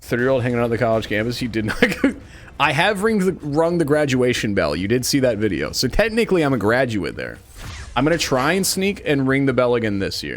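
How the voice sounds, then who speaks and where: Amid noticeable background noise, a man with an American accent talks at a very fast pace with very wide pitch swings. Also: medium pitch for a man. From Kansas. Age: 20s. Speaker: game streamer. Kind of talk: casual live-stream chat while gaming.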